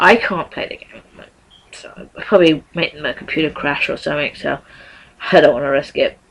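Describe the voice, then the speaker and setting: Long, frequent pauses against noticeable background noise. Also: fairly quick pace. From English Midlands, near Birmingham. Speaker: vlogger and voice actor. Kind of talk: casual vlog. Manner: hesitant, many fillers.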